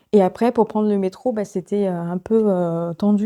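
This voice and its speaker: On a very clean recording with a silent background and a dry, close sound with no echo, a woman speaks at a medium pitch in a dark, mellow tone with fairly even intonation. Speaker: book vlogger. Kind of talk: casual vlog talk. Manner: soft-spoken; hesitant, many fillers.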